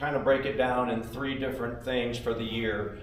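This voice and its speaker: An American-accented man at medium pitch and moderate pace, with audible room echo and noticeable background noise. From Nebraska, US Midwest. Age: 60s. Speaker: catfish angler and small business owner. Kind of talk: seminar presentation.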